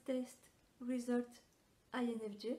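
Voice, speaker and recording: This woman's voice sits high, with a dark, mellow tone and a French accent. Her intonation stays monotone and flat. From France. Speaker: personality typology content creator. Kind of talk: reading a prepared answer to camera.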